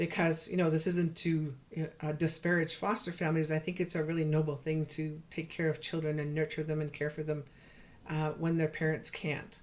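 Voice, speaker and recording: Talking at a fairly quick pace, a woman with a Canadian accent uses a very deep, low pitch and monotone, flat intonation. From Canada, Saskatchewan (Cree, George Gordon First Nation). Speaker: professor and researcher. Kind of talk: virtual lecture presentation. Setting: virtual presentation. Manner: fast; hesitant, with fillers and repetitions.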